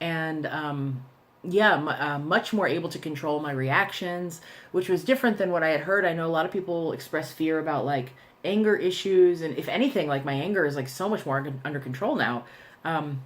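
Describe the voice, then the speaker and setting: Her voice sits very deep and low for a woman, with ordinary pitch variation. She speaks at a fairly quick pace. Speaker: vlogger. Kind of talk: personal video diary. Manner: hesitant, many fillers.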